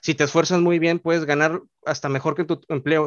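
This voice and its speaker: Speaking very fast, a man with a Mexican accent uses a fairly high pitch. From Mexico. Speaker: youtuber. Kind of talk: casual chat.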